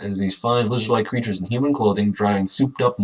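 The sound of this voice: Ordinary pitch variation marks an unforced reading voice.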